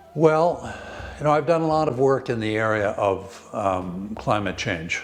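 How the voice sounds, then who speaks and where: A man speaks at a medium pitch with an American accent, his pitch swinging very widely at a fairly slow pace. The room echo is audible and the background noise is noticeable. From Cape Cod, Massachusetts. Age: 80s+. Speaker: nonprofit trust president. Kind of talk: interview. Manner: halting.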